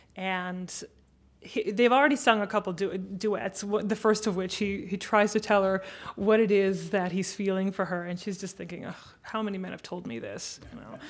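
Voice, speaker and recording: A woman speaks at a moderate pace and medium pitch, with ordinary pitch variation. Hers is a plain, everyday voice, though her loudness swings widely. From United States. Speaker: opera singer. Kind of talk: panel discussion. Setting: stage with audience.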